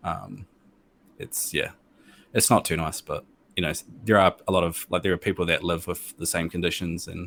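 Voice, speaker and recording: In a New Zealand accent, a man with a very deep, low voice speaks at a moderate pace in a flat monotone, on a very clean recording with a silent background. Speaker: gamer and streamer. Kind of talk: interview. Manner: hesitant, many fillers.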